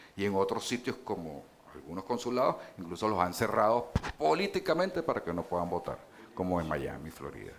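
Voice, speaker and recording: Fairly quick and lively in intonation, a man speaks at a fairly low pitch. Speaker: politician. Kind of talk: panel debate. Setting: stage with audience. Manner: hesitant, many fillers.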